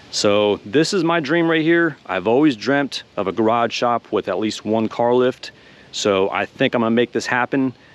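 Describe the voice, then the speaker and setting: An ordinary speaking voice with lively intonation comes through with a dry, close sound and no echo. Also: man, medium pitch for a man, moderate pace. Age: 40s. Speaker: car hobbyist YouTuber. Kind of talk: casual vlog.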